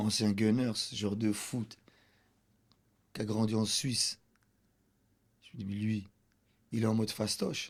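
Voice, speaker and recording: A man speaks at a fairly low pitch with monotone, flat intonation. Long, frequent pauses break up his delivery. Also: fairly slow pace. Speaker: comedian. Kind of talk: casual chat.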